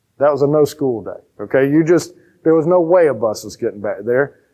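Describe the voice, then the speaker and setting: A man with a Southern US accent talks in an animated tone. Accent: Southern country twang. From rural Georgia, US South. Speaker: pastor. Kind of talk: sermon. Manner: animated, conversational.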